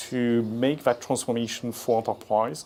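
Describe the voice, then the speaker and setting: A man speaks at a moderate pace with a French accent, his tone dark and mellow. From France. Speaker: industry analyst. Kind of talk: conference presentation. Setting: conference stage with audience. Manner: halting, many fillers.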